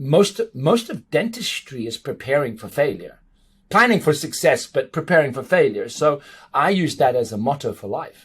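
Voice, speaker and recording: A man talks at a moderate pace in a fairly high, somewhat breathy voice. His pitch swings very widely and his loudness swings in big jumps. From South Africa and Portugal. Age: 40s. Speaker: dentist and international speaker. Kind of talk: podcast interview.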